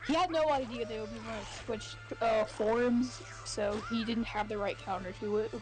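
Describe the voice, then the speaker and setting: Music plays underneath. Over it, a woman speaks at a moderate pace. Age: 20s. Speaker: gaming streamer. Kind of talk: casual chat. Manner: halting, many fillers.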